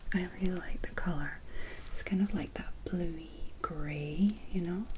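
The voice is soft-spoken and fairly slow. Noticeable background noise runs underneath. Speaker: beauty product reviewer. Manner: soft-spoken, hushed ASMR voice.

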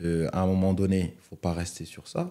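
Over a quiet background, a man with a very deep, low voice and a dark, mellow tone speaks at a moderate pace with monotone, flat intonation. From Cameroonian family, raised in France. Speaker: retired footballer; guest. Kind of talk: interview. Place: studio. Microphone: studio mic.

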